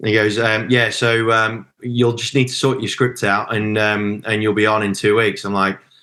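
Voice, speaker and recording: Bright and sharp in tone, the voice carries a Midlands accent and a monotone, flat intonation at a moderate pace, with hardly any pauses over a quiet background. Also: man, fairly low pitch for a man. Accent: Midlands English, unmistakable. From English Midlands. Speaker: auctioneer. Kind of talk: podcast interview. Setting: podcast.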